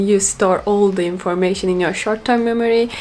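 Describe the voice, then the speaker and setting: A woman's voice sits at a medium pitch. She uses ordinary pitch variation. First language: Turkish. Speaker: language learner vlogger. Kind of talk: casual monologue.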